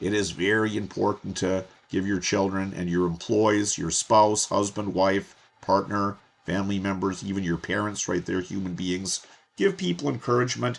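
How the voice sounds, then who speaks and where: At a moderate pace, a man speaks in an unremarkable speaking voice with fairly low pitch. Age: 60s. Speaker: course instructor. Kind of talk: tutorial. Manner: casual, conversational.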